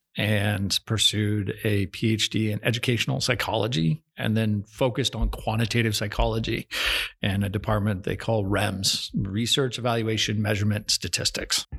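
Speaking with an American accent, a man uses a fairly low pitch with vocal fry, very even loudness and fairly even intonation. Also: moderate pace, dry, close sound with no echo. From Stillwater, Oklahoma. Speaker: business professor. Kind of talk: casual chat. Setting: studio.

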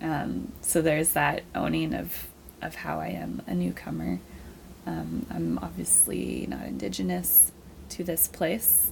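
An American-accented woman's very deep, low voice with vocal fry, ordinary pitch variation and a fairly slow pace. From US Pacific Northwest (Seattle area, countryside). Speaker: artist and outreach worker. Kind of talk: casual interview.

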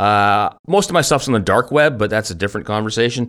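Here is a man with an ordinary speaking voice. He sits at a medium pitch with ordinary pitch variation. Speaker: podcast host. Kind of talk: casual banter then interview. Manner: joking, playful.

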